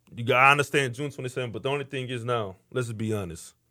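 With an American accent, a man talks in a medium pitch and a bright, sharp tone. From Houston, Texas (Missouri City). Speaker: podcast host. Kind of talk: casual chat. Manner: animated.

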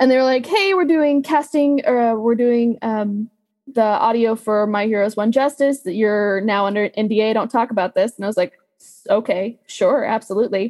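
A woman with an ordinary speaking voice talks at a moderate pace and fairly high pitch, with ordinary pitch variation and a dry, close sound with no echo. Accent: American. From Texas. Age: 20s. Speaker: voice actress. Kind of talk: casual chat.

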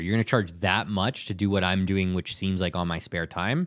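Recorded very cleanly with a silent background and a dry, close sound with no echo, a man speaks in an ordinary speaking voice at a fairly quick pace. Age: 30s. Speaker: entrepreneur. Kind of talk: casual chat. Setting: studio.

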